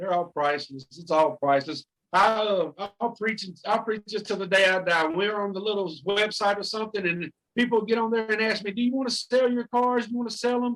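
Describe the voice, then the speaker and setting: In an American accent, a man speaks at a fairly quick pace with a high pitch and ordinary pitch variation. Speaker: card collector. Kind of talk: interview answer. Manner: rhythmic, enthusiastic.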